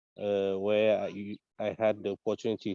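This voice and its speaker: A man speaks very slowly in a fairly low, monotone voice with flat intonation. The sound is dry and close, with no echo. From Africa. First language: French. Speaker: community council candidate. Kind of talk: candidate statement. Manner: halting, many fillers and repetitions.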